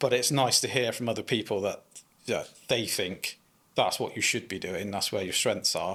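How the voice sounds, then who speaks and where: Speaking with a West Country accent, a man shows ordinary pitch variation. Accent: West Country English (Bristol). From Bristol, England (Keynsham). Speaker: landscaping business owner, former police officer. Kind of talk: casual interview.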